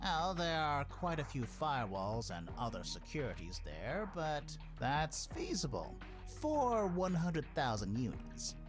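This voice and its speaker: A put-on character voice at middle pitch moves at a fairly slow pace over loud music in the background. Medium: video game. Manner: curt, mercenary.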